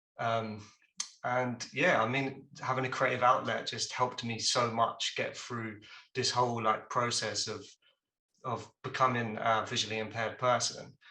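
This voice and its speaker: Spoken with an English accent, the delivery moves at a moderate pace in a monotone, flat intonation. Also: man, medium pitch for a man. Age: 20s. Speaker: junior video editor, visually impaired creative. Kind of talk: presentation on a video call. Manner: casual with many fillers.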